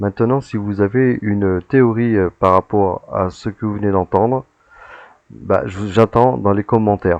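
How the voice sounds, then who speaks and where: A man speaks at a fairly slow pace in a fairly low pitch. His intonation stays fairly even. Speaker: paranormal investigator. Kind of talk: recorded commentary on footage. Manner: loud; hesitant, many fillers.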